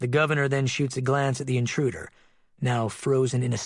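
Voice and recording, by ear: A natural voice reading aloud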